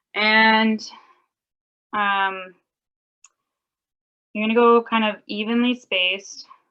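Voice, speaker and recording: A loud woman's voice, bright and sharp, fairly high in pitch, monotone and flat, at a very slow pace with long, frequent pauses. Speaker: mending workshop presenter. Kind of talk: tutorial. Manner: casual, filler-heavy.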